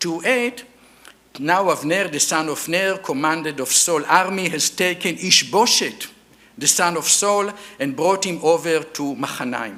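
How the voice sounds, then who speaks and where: A man speaks with an Israeli accent at a high pitch and a fairly slow pace. Noticeable background noise runs underneath. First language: Hebrew. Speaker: archaeologist. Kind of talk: lecture. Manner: halting, with many fillers.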